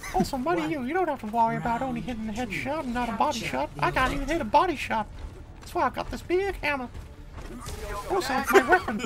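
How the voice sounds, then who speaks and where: Over clear background noise, a man rattles off lines very fast in a put-on character voice at an extremely high pitch. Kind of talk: comic overacting. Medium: game stream. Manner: cheery, folksy, calls everyone fellas.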